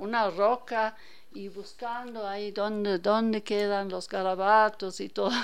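A woman speaks at a very slow pace in a German accent. Her pitch is fairly high and her intonation fairly even. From Germany, Hannover. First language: German (speaking Spanish). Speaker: painter. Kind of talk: radio interview.

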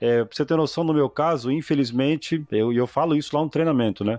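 A man's ordinary speaking voice at a moderate pace, ordinary pitch variation, and a dry, close sound with no echo. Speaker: podcast host and HVAC business owner. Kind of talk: casual interview chat.

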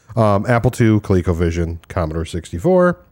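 A man with a dark, mellow tone speaks at a fairly slow pace in a very clean recording with a silent background. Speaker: podcast co-host. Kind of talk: casual chat.

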